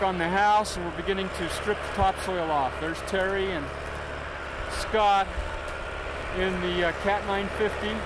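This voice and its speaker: Speech at a moderate pace with long, frequent pauses, set against loud background noise in a dry, echo-free sound. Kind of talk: casual home video narration. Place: open country. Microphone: old recording.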